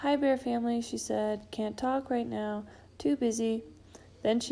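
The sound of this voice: Unforced reading in a plain voice.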